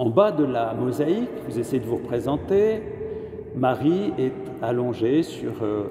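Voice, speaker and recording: Audible room echo surrounds a man speaking at a very slow pace and a medium pitch. His pitch swings very widely. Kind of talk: sermon. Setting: cathedral. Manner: halting.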